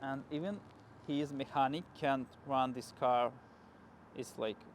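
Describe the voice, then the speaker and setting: Talking very slowly, a man has a medium pitch and a non-native accent. His intonation stays fairly even. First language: not English. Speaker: car YouTuber. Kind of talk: casual vlog storytelling. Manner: halting.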